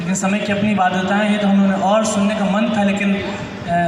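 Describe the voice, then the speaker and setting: A man speaks at a moderate pace in a high, flat monotone over noticeable background noise. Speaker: Hindi poet. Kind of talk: stage talk to the audience. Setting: live stage, audience present.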